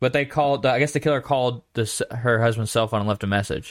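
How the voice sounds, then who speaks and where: On a very clean recording with a silent background, dry and close with no echo, a man with an unremarkable speaking voice and medium pitch talks at a fairly quick pace. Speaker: podcast co-host. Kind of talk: casual banter podcast. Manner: jokey, playful.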